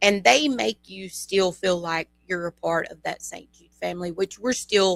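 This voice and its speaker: A woman talks in a Louisiana accent at a fairly slow pace with hardly any pauses, her medium pitch carrying lively intonation. Her loudness swings widely, and the sound is dry and close with no echo. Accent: Louisiana Southern. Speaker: bereaved parent. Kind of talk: interview. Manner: halting.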